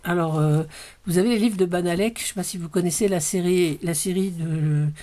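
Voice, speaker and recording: Medium-pitched female speech at a moderate pace, in a very clean recording with a silent background. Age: 60s. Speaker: crafting vlogger. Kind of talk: casual haul video. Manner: hesitant, many fillers.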